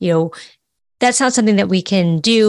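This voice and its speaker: The recording is very clean with a silent background, and the speech moves at a moderate pace. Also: woman. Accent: American. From San Francisco, US. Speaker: fundraising consultant and author. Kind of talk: casual interview. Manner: energetic.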